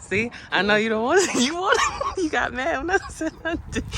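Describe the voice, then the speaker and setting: A woman speaks at a moderate pace with lively intonation. Noticeable background noise is present. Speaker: lifestyle vlogger. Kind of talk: casual vlog chat. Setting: outdoors.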